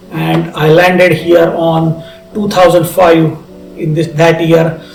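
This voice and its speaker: A high-pitched man with an Indian accent, monotone and flat, with audible room echo and noticeable background noise. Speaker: entrepreneur and former software architect. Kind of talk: personal testimony to camera. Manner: halting with self-corrections.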